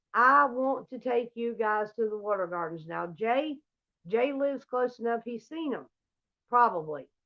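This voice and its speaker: This woman talks with an American accent at a moderate pace. Her pitch is fairly high and her intonation is lively. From US South, Georgia. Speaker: livestreamer. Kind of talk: casual livestream chat. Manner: animated.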